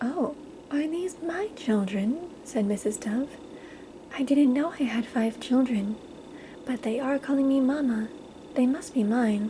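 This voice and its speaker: Soft-spoken and whispering, the speaker moves at a fairly slow pace with long, frequent pauses over noticeable background noise. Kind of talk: ASMR bedtime story read aloud. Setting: quiet recording with page-turning sounds. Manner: soft-spoken, whispered.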